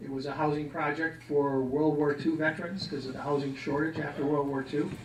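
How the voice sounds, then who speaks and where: A man with an Upper Midwest accent, fairly high in pitch, at a fairly quick pace in a monotone, flat delivery, with audible room echo and noticeable background noise. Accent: Upper Midwest American. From Milwaukee, Wisconsin. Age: 60s. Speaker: Vietnam war veteran. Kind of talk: personal testimony talk. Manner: casual, conversational.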